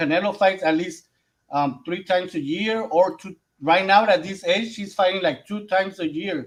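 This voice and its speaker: A man with a Mexican accent delivers his words at a moderate pace. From Mexico. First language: Spanish. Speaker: boxing podcast panelist. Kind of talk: casual boxing discussion. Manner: halting, searching for English words.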